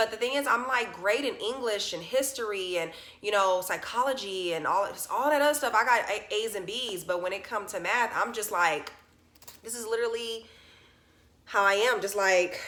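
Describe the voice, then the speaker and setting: A woman's fairly high voice at a moderate pace, ordinary pitch variation, and audible room echo. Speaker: vlogger. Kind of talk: personal vlog. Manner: stuttering; casual, filler-heavy.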